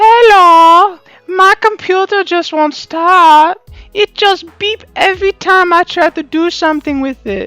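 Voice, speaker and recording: Faint music plays in the background as an extremely high put-on character voice speaks at a fairly slow pace. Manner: broken grammar.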